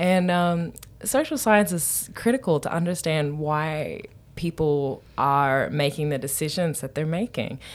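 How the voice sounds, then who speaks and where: This woman's voice sits at a very deep, low pitch. She talks at a fairly slow pace. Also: ordinary pitch variation. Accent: Australian. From Newcastle, Australia. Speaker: anthropologist, professor. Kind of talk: interview.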